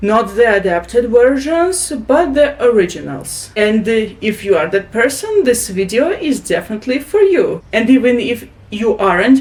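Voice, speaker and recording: With a Russian accent, a woman speaks at a fairly high pitch and a moderate pace, with hardly any pauses. Her pitch swings very widely, and there is noticeable background noise. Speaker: booktuber. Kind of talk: tutorial. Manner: halting.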